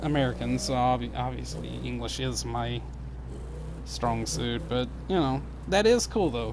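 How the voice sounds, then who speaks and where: With a slight Southern US accent, a man talks at a fairly slow pace amid audible room echo. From US South. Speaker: gaming streamer. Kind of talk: casual live stream chat. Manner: stumbles and jumbles words.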